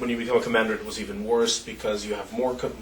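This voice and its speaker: Talking at a very fast pace with ordinary pitch variation, the voice comes through audible room echo and noticeable background noise. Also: man. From Israel, Jerusalem. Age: 30s. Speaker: activist and former soldier. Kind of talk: interview. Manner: halting, with many fillers.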